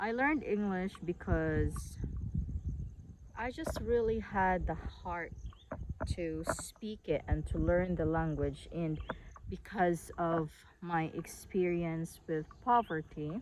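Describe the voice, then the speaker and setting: A woman speaks in a Visayan Filipino accent at a very slow pace, with long, frequent pauses. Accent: Filipino (Cebuano) English. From Philippines, northern Cebu. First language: Cebuano. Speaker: online English teacher. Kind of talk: casual vlog talk. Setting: outdoors on a farm. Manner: hesitant, with frequent fillers.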